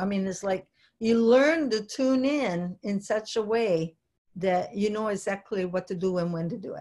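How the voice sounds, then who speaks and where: A woman with an Italian accent, medium pitch, ordinary pitch variation and a fairly slow pace. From Italy. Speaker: business coach. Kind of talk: webinar presentation.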